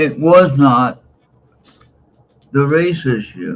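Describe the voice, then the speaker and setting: This medium-pitched man speaks with an American accent. His delivery is very slow, with lively intonation. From US West Coast, San Francisco Bay Area (Oakland, Hayward). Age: 60s. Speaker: livestreamer. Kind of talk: casual livestream monologue. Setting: live stream. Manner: opinionated, emphatic.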